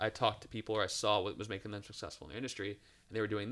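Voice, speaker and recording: A man with an American accent speaks at a very fast pace in a bright, sharp tone and fairly low pitch. The recording is very clean with a silent background, and his pitch varies in an ordinary way. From Cleveland, Ohio. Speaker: college professor, former sports marketer. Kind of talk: interview.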